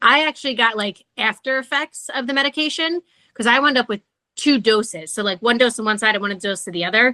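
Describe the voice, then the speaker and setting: Bright and sharp in tone, a woman with a fairly high pitch uses lively intonation at a moderate pace, in a dry, close sound with no echo. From New Jersey. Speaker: podcast guest sharing pregnancy loss story. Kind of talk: casual interview conversation.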